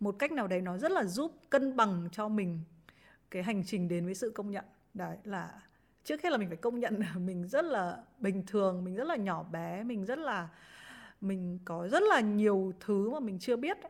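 A woman's normal speaking voice at medium pitch, lively in intonation and moderate in pace. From Vietnam, Hai Phong. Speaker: former radio presenter and journalist. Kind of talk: podcast interview, casual chat. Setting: remote online recording.

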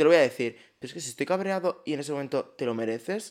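Speaking at a very fast pace, a man with a fairly high pitch uses an animated tone and lively intonation, captured in a very clean recording with a silent background. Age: 20s. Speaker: podcast co-host. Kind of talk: casual chat.

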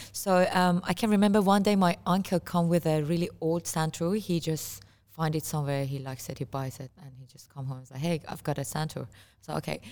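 Speaking at a fairly quick pace with an Iranian accent, a woman with a very deep, low pitch shows big swings in loudness on a very clean recording with a silent background. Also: ordinary pitch variation. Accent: Iranian (Persian). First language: Persian. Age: 30s. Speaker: musician. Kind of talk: casual interview. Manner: halting, frequent repetitions.

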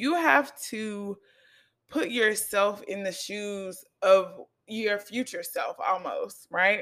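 Speaking very slowly in a fairly high voice, a woman sounds upbeat and confident, her loudness swinging widely while her pitch varies in an ordinary way. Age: 20s. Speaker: podcast host and makeup artist educator. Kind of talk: solo podcast monologue, casual and motivational. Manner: conversational, upbeat, confident, casual.

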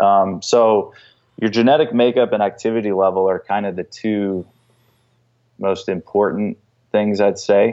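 A man with a plain, everyday voice speaks at a fairly low pitch and a fairly slow pace, with fairly even intonation. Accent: American. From North Carolina. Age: 30s. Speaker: fitness professional. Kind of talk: podcast interview.

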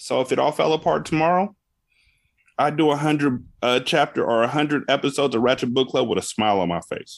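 A man talks at a very fast pace with ordinary pitch variation. Vocal fry runs through his voice. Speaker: podcaster and former radio host. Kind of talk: casual interview chat.

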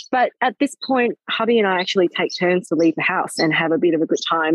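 Her intonation lively, a woman talks at a medium pitch and a fairly quick pace. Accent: Australian. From Hong Kong. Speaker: plastic surgeon. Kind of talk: casual interview chat. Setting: outdoors, sitting on a swing in a park, on a video call.

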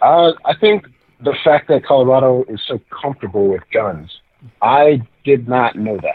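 In a plain, everyday voice, a man talks at a fairly slow pace with lively intonation. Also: medium pitch for a man. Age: 20s. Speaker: pro wrestler. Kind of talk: casual chat.

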